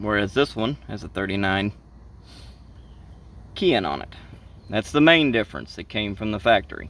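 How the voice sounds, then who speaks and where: A man with a strong Southern US accent and fairly low pitch uses lively intonation, big swings in loudness, and long, frequent pauses. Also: moderate pace. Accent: heavy Southern US. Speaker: ATV racer. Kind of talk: casual talk to camera. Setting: outdoors, earbud microphone.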